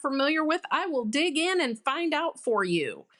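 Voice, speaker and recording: A woman with an American accent talks at a moderate pace in a high pitch with a bright, sharp tone, recorded very cleanly against a silent background. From Detroit, Michigan, US. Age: 60s. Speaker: addiction detox program representative. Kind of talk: podcast interview.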